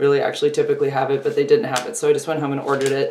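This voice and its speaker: Audible room echo surrounds the woman as she talks. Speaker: vlogger. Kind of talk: casual vlog chat. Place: home room. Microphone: phone near.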